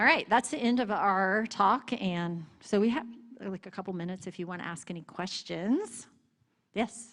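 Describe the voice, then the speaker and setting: A plain, everyday voice with an American accent, at a moderate pace, with ordinary pitch variation and big swings in loudness. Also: woman, medium pitch for a woman. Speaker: missionary seminary teacher. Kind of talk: church missions presentation with Q&A.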